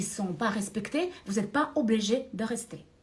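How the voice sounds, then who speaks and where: Somewhat breathy woman's voice, fairly high in pitch, at a moderate pace. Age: 60s. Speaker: career and finance coach. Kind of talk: motivational talk to camera. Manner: hesitant, many filler sounds.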